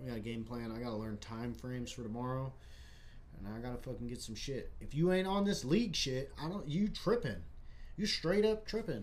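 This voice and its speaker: The speech moves at a fairly quick pace with lively intonation, and audible room echo surrounds it. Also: man. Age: 20s. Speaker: livestream host. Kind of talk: casual chat. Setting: live stream. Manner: animated.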